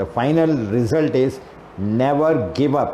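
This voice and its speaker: A man with an Indian accent speaks at a medium pitch with lively intonation, amid noticeable background noise and audible room echo. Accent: Indian English (Telugu). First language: Telugu. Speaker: English teacher and trainer. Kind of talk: lecture. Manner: halting.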